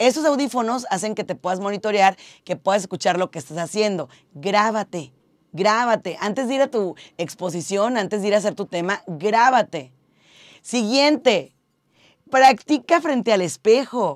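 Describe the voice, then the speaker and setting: A woman talks at a fairly slow pace in an animated tone. Her fairly high voice has lively intonation. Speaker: radio host and content creator. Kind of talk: tips video monologue. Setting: radio booth.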